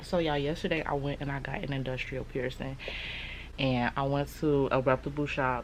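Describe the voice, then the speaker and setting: Against noticeable background noise, a woman with a very deep, low pitch talks at a fairly quick pace with fairly even intonation. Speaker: beauty and lifestyle vlogger. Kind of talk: casual vlog monologue. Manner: talking low, close to the mic. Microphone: speaking very close to the mic.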